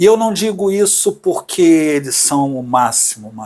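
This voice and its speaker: Speaking at a fairly slow pace, a man has a high pitch. His pitch varies in an ordinary way. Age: 60s. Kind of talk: casual conversation.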